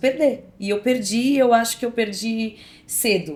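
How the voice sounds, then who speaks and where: Her pitch fairly high, a woman uses a plain, everyday voice with lively intonation at a fairly slow pace. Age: 40s. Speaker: actress. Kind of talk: podcast interview, personal story.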